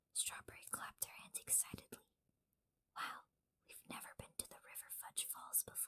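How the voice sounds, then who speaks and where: The voice is a whisper at a moderate pace. Long pauses come often. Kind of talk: children's book read-aloud. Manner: whispered.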